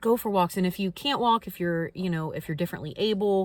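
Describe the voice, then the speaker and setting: Recorded very cleanly over a silent background, a woman with an American accent speaks at a fairly low pitch with ordinary pitch variation. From Kentucky, US South. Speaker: spiritual content creator. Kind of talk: casual vlog talk to camera. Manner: halting, many fillers and restarts.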